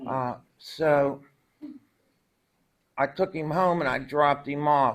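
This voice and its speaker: A man's fairly high voice at a very slow pace, with fairly even intonation and long, frequent pauses. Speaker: recovery speaker. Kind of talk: testimony. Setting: stage with audience.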